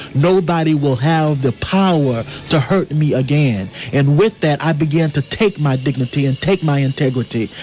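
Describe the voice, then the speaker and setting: Noticeable background noise sits behind a man who talks at a moderate pace and very even loudness, with a fairly high pitch for a man. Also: ordinary pitch variation. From US South. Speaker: playwright. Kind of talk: radio interview. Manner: earnest, impassioned.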